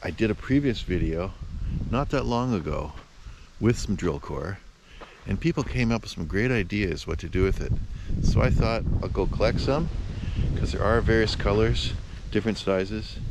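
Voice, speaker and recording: A man talks at a moderate pace with long, frequent pauses. The sound is dry with no echo, but background noise is noticeable. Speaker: rock hound vlogger. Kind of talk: casual vlog chat. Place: open country. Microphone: phone near.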